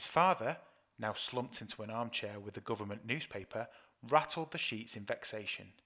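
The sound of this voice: The words are delivered in an unforced reading voice.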